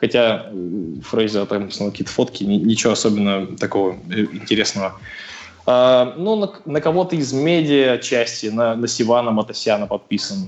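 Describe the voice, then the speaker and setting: The speaker uses a plain, everyday voice at a moderate pace with ordinary pitch variation. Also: man. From Russia, Sverdlovsk Oblast (Novouralsk). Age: 20s. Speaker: CrossFit athlete. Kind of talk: casual interview. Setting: phone call.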